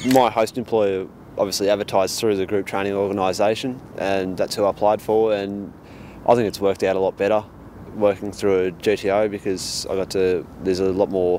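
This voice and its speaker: In an Australian accent, the speaker talks at a fairly quick pace in monotone, flat intonation, with a dry sound with no echo and light background noise. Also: man, fairly low pitch for a man. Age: 20s. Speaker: apprentice mechanic. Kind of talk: interview testimonial. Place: street.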